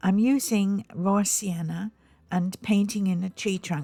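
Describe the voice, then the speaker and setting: Her voice is somewhat breathy, pitched at a medium level for a woman. The pitch varies in an ordinary way. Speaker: painting tutor. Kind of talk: tutorial. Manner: hesitant, many ums.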